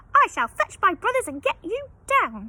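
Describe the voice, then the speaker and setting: In a put-on character voice, a woman squeaks at an extremely high pitch, her pitch swinging very widely at a moderate pace. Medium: read story. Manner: fussy, chatty.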